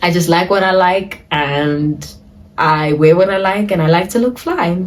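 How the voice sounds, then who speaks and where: At a moderate pace, a woman speaks with a fairly low pitch and ordinary pitch variation, and audible room echo surrounds her voice. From South Africa. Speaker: lifestyle and dance vlogger. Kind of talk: casual Q&A vlog talk. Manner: casual, chatty.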